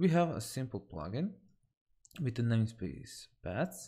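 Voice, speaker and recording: Using vocal fry and a medium pitch, a man speaks at a very slow pace with very wide pitch swings on a very clean recording with a silent background. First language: not English. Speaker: software developer streamer. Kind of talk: live coding tutorial. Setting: live stream. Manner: halting, with fillers.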